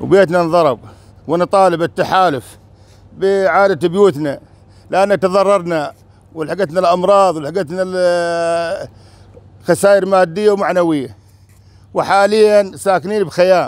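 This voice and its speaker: A man speaks at a very slow pace with a high pitch, ordinary pitch variation and very even loudness. He leaves long, frequent pauses, and the sound is dry with no echo. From Syria, rural Deir ez-Zor; Syria. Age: 60s. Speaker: displaced villager. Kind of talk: testimony. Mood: earnest complaint, appealing. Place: open country. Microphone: lapel.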